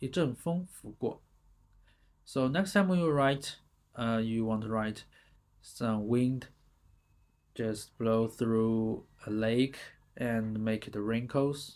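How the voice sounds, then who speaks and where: Someone speaks in a Chinese accent at a very slow pace, with long, frequent pauses. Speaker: language teacher. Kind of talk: tutorial. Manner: halting.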